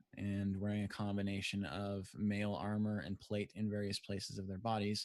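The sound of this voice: The clip features an unforced reading voice. Nothing else stands out.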